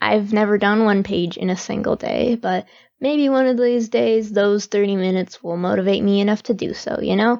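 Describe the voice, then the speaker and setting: A woman speaks quietly. Her pitch is fairly high. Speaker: webcomic artist. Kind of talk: casual talk to camera. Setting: home, background noise.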